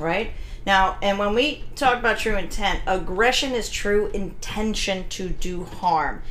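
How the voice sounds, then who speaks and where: Against noticeable background noise, a woman with an American accent talks at a fairly slow pace, her medium pitch showing ordinary variation. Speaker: dog trainer and podcast host. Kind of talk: casual podcast chat. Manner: loud, blunt.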